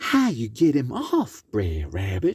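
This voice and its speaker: A put-on character voice sits at a low-to-middle pitch and moves at a fairly slow pace. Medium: read story. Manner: prim, fussy.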